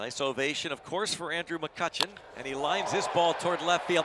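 A man talks at a fairly quick pace in a high pitch, over noticeable background noise. His tone is animated and excited. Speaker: baseball play-by-play announcer. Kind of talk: live sports commentary. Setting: ballpark broadcast highlights. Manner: animated, punchy play-by-play calls; excited, rising on big moments.

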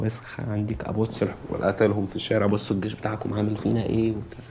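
In an Egyptian accent, a man speaks at a fairly low pitch. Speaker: anonymous interviewee. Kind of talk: testimony, recounting the 2011 uprising as an oral-history interview. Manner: heated, fast, agitated, tumbling words with repeats; raw, angry, conversational with slang.

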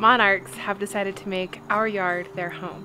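A woman speaks at a moderate pace with ordinary pitch variation. Noticeable background noise is present. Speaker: home vlogger. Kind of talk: casual vlog chat. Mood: cheerful, enthusiastic. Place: garden. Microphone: phone near.

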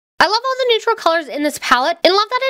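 In a raised, projected voice, a woman swings her pitch very widely, recorded dry and close with no echo. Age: 20s. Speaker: beauty and lifestyle YouTuber. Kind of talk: scripted voiceover tutorial.

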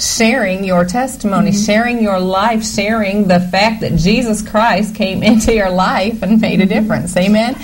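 A woman talks at a medium pitch while noticeable background noise plays behind her. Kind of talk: sermon conversation. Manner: earnest, emphatic.

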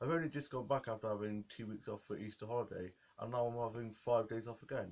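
A man's fairly quick delivery keeps a fairly even intonation. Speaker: vlogger. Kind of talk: casual vlog chat. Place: home room. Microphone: webcam.

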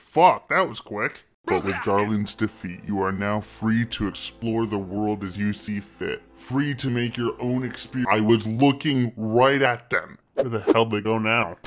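A man puts on a rumbling character voice at medium pitch, speaking at a moderate pace. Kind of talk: comic deadpan game narration. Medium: cartoon. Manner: weary, grumbling, sarcastic.

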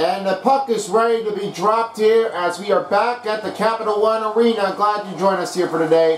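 With noticeable background noise behind him, a man with a high pitch speaks at a moderate pace and ordinary pitch variation. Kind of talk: live commentary of a video game hockey match.

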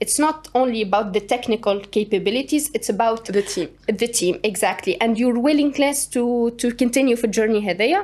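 The speaker talks at a fairly quick pace with ordinary pitch variation and very even loudness. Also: woman, fairly high pitch for a woman. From Tunisia. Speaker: startup co-founder; guest. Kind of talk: interview. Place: studio. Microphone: studio mic.

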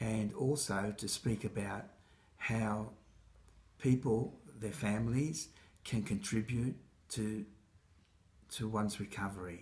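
With an Australian accent, a man with a fairly low, somewhat breathy voice speaks at a very slow pace with ordinary pitch variation and long, frequent pauses. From Egypt, raised in Australia from age six. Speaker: mental health consumer advocate. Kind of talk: speaker self-introduction to camera. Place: kitchen. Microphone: phone near.

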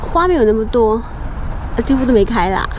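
A woman over noticeable background noise, the sound dry with no echo. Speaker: travel vlogger. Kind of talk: casual vlog chat. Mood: cheerful, curious. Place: garden. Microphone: phone near.

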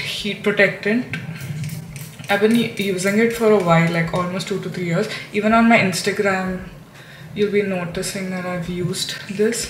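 Over light background noise and audible room echo, a woman talks at a moderate pace with fairly even intonation. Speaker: beauty vlogger. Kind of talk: casual vlog chat. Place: bathroom. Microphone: camera far.

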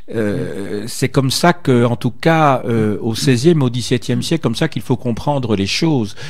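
A man's lively intonation moves over a quiet background as he talks at a fairly slow pace. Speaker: radio host. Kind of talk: radio interview. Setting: studio. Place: studio. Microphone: studio mic.

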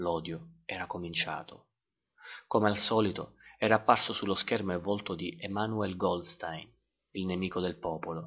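A man talks at a moderate pace with a very deep, low pitch and fairly even intonation. He makes long, frequent pauses. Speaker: audiobook narrator.

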